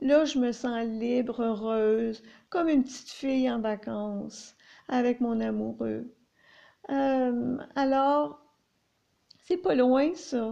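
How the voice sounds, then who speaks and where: Speaking at a very slow pace with long, frequent pauses, a woman has a high pitch, ordinary pitch variation and a dark, mellow tone. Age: 50s. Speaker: chronic pain sufferer sharing experience. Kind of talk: personal monologue. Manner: halting, many hesitations.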